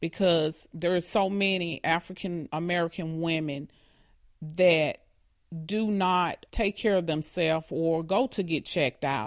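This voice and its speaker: A woman's plain, everyday voice, fairly low in pitch with ordinary pitch variation, at a fairly slow pace against a quiet background. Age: 40s. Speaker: hospital technician and cancer patient. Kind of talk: interview testimony.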